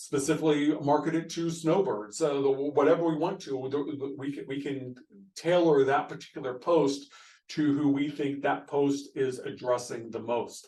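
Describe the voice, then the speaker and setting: There is audible room echo around a man's voice. His pitch is fairly high, and his tone is dark and mellow. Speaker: pastor. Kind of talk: recorded video presentation to church board. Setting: screen-share video recording. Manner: fast.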